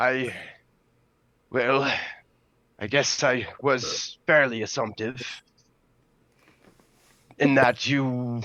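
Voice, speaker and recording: This man puts on a character voice. It is raspy and sits at a medium pitch. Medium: actual play. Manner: hesitant, halting, polite.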